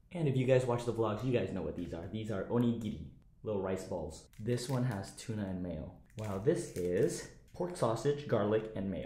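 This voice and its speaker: Audible room echo colors a man's fairly low voice. It sounds somewhat breathy, with a dark, mellow tone. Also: moderate pace. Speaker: car vlogger. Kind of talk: casual vlog chat. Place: home room. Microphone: phone near.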